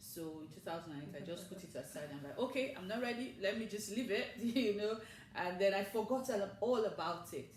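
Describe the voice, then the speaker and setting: A woman talks at a fairly quick pace and medium pitch, with lively intonation and big swings in loudness. Noticeable background noise and audible room echo surround her. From Nigeria. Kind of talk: interview. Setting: studio.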